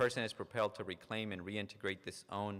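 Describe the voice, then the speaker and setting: A man with a fairly low pitch and a slight non-native accent. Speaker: psychologist. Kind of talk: lecture. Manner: frequent repetitions and false starts.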